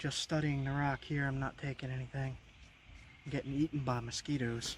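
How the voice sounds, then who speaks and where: Talking at a fairly quick pace with an American accent, a man uses a fairly high pitch and a monotone, flat intonation in a somewhat breathy voice. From Long Island, New York. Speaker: outdoors vlogger and flint knapper. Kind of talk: casual outdoor vlog narration. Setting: outdoors by a creek.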